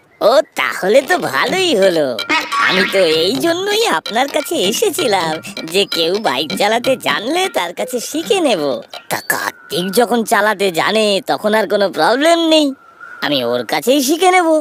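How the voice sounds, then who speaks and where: A cartoonish character voice speaks with a fairly high pitch. The pace is moderate, with faint music in the background. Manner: fretful, easily flustered.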